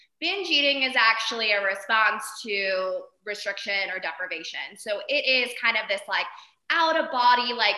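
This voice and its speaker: At a moderate pace, a woman speaks with a fairly high pitch. Her pitch variation is ordinary. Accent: American. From Arizona. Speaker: therapist. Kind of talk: interview. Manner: loud; animated.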